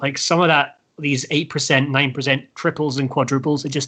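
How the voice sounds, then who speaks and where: A man with a bright, sharp tone and fairly high pitch talks at a moderate pace over a quiet background. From Scotland. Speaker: heavy metal band frontman. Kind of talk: casual chat. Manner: animated.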